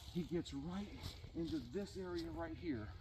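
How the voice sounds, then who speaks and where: The voice is quiet. Background noise is noticeable. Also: man. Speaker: hunter and vlogger. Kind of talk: outdoor vlog storytelling. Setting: outdoors in the woods. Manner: hushed, kept low; animated.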